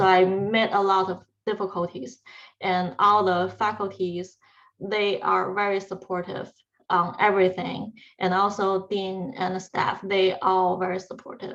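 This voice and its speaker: Speaking fairly slowly with a Chinese accent, a woman keeps a medium pitch in a monotone, flat intonation. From China. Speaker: PhD student. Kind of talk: panel talk.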